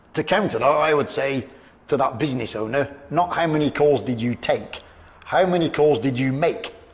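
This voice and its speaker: Noticeable background noise stays present. A man talks at a moderate pace with a fairly high pitch. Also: ordinary pitch variation. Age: 50s. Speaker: detailing business owner. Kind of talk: interview.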